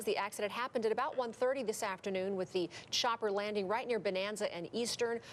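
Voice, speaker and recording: A woman at a very fast pace with fairly even intonation, against noticeable background noise. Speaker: TV news anchor. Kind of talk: TV newscast anchor.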